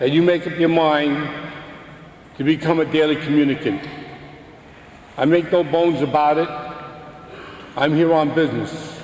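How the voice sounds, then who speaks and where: A man's fairly high, monotone voice in a Brooklyn accent, at a moderate pace with long, frequent pauses and noticeable background noise. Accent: Brooklyn New York. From US Northeast, Brooklyn, New York. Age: 60s. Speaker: religious speaker giving testimony. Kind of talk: testimony.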